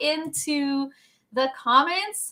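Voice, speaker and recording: Raised and projected, the voice has an animated tone and a bright, sharp tone. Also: woman. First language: French. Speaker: workshop host. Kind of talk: live webinar chat.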